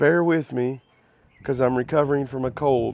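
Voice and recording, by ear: A man speaks at a moderate pace with a slightly mellow tone, fairly even intonation and some vocal fry.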